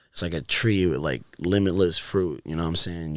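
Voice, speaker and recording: In a very clean recording with a silent background, a man with an American accent talks at a very fast pace, his very deep, low pitch held in fairly even intonation. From Florida. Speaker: music producer and DJ. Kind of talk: casual chat. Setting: studio. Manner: casual, filler-heavy.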